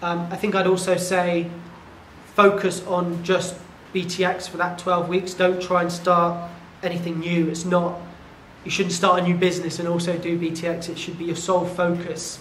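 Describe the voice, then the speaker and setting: Flat, monotone delivery at a moderate pace, with audible room echo and light background noise. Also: man, high pitch for a man. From England, Devon; England. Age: 30s. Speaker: tech entrepreneur and fitness client. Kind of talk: testimonial interview. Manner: halting, with many fillers. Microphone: lapel.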